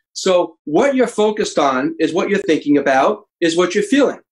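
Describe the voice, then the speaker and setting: Ordinary pitch variation marks this man's speech at a fairly quick pace. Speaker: psychologist and author. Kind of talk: interview. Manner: fast.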